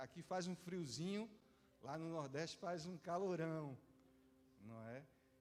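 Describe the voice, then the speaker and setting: Lively intonation marks a man's very slow speech. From Northeast Brazil (João Pessoa, Paraíba). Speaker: visiting pastor. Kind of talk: sermon. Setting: church service.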